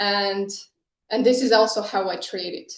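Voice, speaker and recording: With audible room echo, a woman speaks at a fairly high pitch with ordinary pitch variation. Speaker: startup founder. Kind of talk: conference talk.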